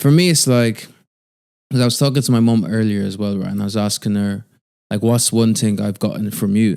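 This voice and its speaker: A man with an Irish accent talks at a fairly quick pace in a fairly low, dark, mellow voice with ordinary pitch variation. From Ireland, Athlone. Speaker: podcast co-host. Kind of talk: casual chat.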